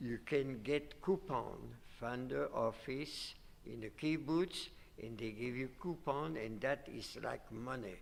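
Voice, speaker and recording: Speaking very slowly, a man uses lively intonation at a medium pitch. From Belgium. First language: not English. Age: 80s+. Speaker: Holocaust survivor interviewee. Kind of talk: interview. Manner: halting.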